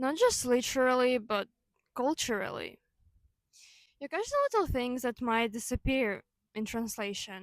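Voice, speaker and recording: A woman's high-pitched voice with a Ukrainian accent, ordinary pitch variation and a moderate pace broken by long, frequent pauses, in a dry, close sound with no echo. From Ukraine. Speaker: video essayist. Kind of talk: personal video essay. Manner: casual, with fillers and self-corrections.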